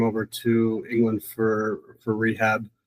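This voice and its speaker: Speaking in an American accent, a man keeps to a medium pitch. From United States. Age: 40s. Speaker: recovering addict, rehab alumnus. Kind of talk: podcast interview, personal testimony. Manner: hesitant, many filler words.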